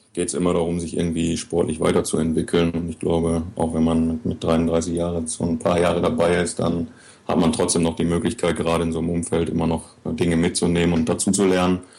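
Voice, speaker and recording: A man speaks at a fairly quick pace, with hardly any pauses. His pitch is very deep and low, his tone dark and mellow. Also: monotone, flat intonation. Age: 30s. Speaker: wheelchair basketball player. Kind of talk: interview.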